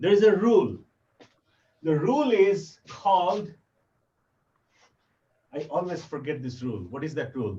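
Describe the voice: A man's fairly high, dark, mellow voice with a Bengali accent, at a fairly slow pace with long, frequent pauses, in audible room echo. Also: lively intonation. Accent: Bengali-accented Indian English.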